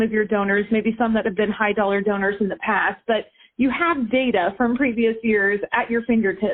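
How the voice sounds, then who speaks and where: This woman has a plain, everyday voice with fairly high pitch. Her pace is moderate, with ordinary pitch variation. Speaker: benefit auctioneer, fundraising consultant. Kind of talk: interview answer.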